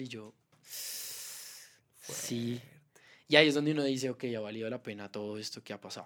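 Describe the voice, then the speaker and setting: The voice has ordinary pitch variation on a very clean recording with a silent background. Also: man. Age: 20s. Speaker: musician and stage manager. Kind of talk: casual chat.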